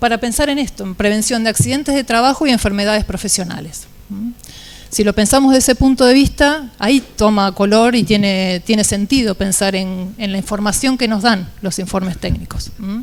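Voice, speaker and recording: A soft-spoken woman with a fairly high pitch talks at a moderate pace. Her pitch moves in an ordinary way. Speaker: engineer panelist. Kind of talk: panel talk presentation. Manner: halting.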